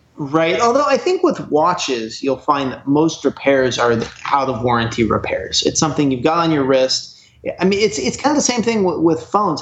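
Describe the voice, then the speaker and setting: A man with an American accent talks at a fairly quick pace over noticeable background noise. His fairly high voice swings very widely in pitch. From Oregon, US. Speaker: repair teardown technician. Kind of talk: casual interview chat. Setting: phone or video call.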